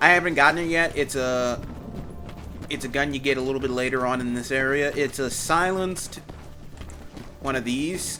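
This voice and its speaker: Music plays in the background as a man with a fairly high pitch speaks at a moderate pace, leaving long, frequent pauses. His intonation is fairly even, and there is audible room echo. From Louisiana. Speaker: gaming YouTuber. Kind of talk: let's play commentary. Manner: casual, halting.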